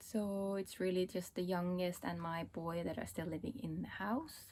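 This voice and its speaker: The voice is somewhat breathy. It belongs to a woman and sits at a medium pitch. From Estonia, Pärnu. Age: 40s. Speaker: knitting podcaster. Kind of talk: casual vlog talk. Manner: casual with frequent fillers.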